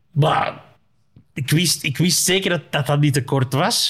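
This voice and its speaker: A man talks at a fairly slow pace. His pitch sits fairly high. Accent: Flemish. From Flanders, Belgium. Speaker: comedian. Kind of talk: casual chat.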